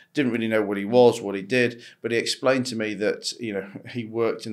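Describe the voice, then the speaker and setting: A man in a British accent, medium-pitched, with monotone, flat intonation on a very clean recording with a silent background. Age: 40s. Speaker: entrepreneur and investor. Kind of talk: interview conversation. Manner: halting, with frequent repetitions and fillers.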